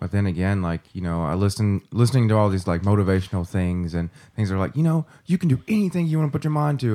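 A man with a Kentucky accent talks very fast in a fairly low voice with a dark, mellow tone. His pitch swings very widely. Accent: Southern US (Kentucky). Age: 30s. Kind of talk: casual chat.

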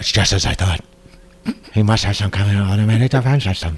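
Putting on a character voice, a man talks at a very fast pace with a fairly low pitch and very even loudness. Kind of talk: unnatural, exaggerated. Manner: stilted, wooden delivery.

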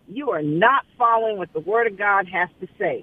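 An unremarkable speaking voice from a woman with an American accent, fairly high in pitch, lively in intonation, at a moderate pace. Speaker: caller. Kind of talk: casual chat. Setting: phone call.

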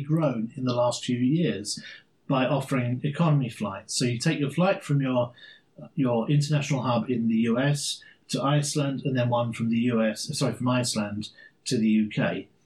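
A somewhat breathy voice with an English accent and ordinary pitch variation. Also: man, medium pitch for a man, moderate pace. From England, London. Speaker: podcast co-host. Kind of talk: casual chat.

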